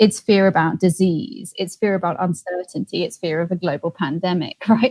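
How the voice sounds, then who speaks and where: Music plays in the background. The speaker, with a British accent, goes at a fairly quick pace with ordinary pitch variation. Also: woman. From England. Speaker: empathy expert and author. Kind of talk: interview answer.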